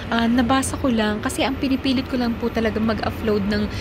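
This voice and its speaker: Over noticeable background noise and audible room echo, a woman is speaking. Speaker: OFW vlogger. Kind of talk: casual vlog talk with shout-outs. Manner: louder than usual.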